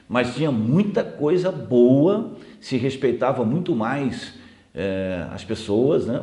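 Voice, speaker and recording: Very slowly and with very wide pitch swings, a man talks at medium pitch in a dark, mellow tone, with audible room echo. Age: 60s. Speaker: TV host. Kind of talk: interview.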